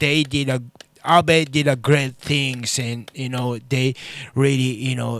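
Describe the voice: A man speaks at a fairly slow pace and a medium pitch. His is an unremarkable speaking voice.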